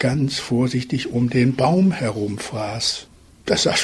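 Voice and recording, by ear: Natural-voiced reading aloud, full of lively intonation.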